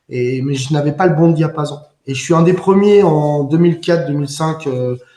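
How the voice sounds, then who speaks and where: At a moderate pace, a man speaks somewhat breathily in a dark, mellow tone with ordinary pitch variation. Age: 50s. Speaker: musician and composer. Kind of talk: interview. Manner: hesitant, many fillers.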